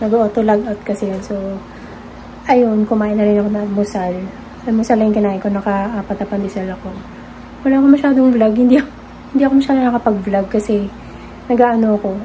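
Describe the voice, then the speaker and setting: Against noticeable background noise, a woman with a fairly high pitch talks very fast but leaves long, frequent pauses, her intonation fairly even. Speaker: vlogger. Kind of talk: casual vlog chat. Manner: soft-spoken.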